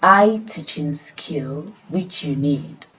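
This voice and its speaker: With a Nigerian accent and ordinary pitch variation, a woman speaks at a very slow pace over noticeable background noise. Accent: Nigerian (Yoruba) English. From Nigeria, Ekiti State. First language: Yoruba. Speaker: language tutor. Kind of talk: self-introduction sales pitch.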